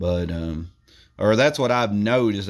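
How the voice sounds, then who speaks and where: The intonation stays fairly even, in a Southern Tennessee accent. The recording is very clean, with a silent background. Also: man. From US South, Tennessee. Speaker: YouTuber doing product reviews. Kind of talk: casual product review vlog. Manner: rambling, halting with fillers.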